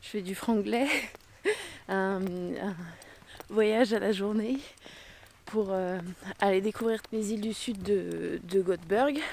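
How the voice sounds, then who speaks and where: A woman at a fairly high pitch, very slow in pace, with ordinary pitch variation. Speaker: travel vlogger. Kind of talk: vlog narration. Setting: outdoors. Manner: hesitant, many fillers.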